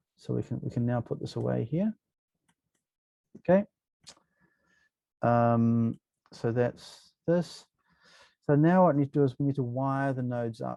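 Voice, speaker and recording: A man's dark, mellow tone, dry and close with no echo. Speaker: university lecturer. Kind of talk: software tutorial lecture. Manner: casual, hesitant with many fillers.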